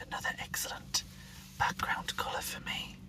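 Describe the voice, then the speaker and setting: There is noticeable background noise as a man whispers. He goes at a fairly slow pace. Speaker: ASMR creator. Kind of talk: ASMR whispered show-and-tell. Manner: whispered.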